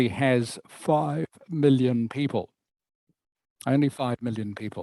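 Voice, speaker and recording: In a New Zealand accent, a man with a dark, mellow tone talks at a fairly slow pace and a medium pitch with ordinary pitch variation, the sound dry and close with no echo. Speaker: English teacher. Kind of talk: online English lesson.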